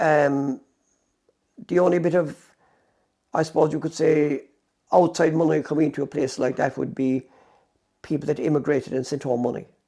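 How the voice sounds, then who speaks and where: Using long, frequent pauses, a man talks at a moderate pace with fairly even intonation in a fairly high voice with a dark, mellow tone. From West Cork, Ireland. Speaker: former mobile shop owner. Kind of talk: oral history interview answer.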